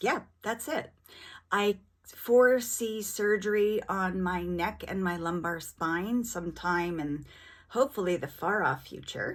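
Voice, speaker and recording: In a very clean recording with a silent background, a woman with a plain, everyday voice speaks at a medium pitch and a fairly slow pace, with ordinary pitch variation. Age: 50s. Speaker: vlogger living with rheumatoid arthritis. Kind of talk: casual vlog monologue.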